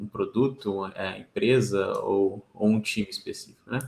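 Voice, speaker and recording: A man with a medium-pitched voice. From Brazil, Minas Gerais (Belo Horizonte). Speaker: engineering manager. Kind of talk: casual chat. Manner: halting, many fillers.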